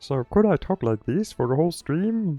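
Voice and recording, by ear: With music in the background, a put-on character voice, guttural and strained at a middle pitch, speaks at a moderate pace.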